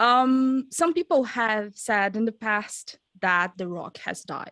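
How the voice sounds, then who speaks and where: A woman with a Portuguese accent speaks very slowly at a fairly high pitch, her bright, sharp tone and lively intonation captured dry and close with no echo on a very clean recording against a silent background. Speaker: music interviewer. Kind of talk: interview.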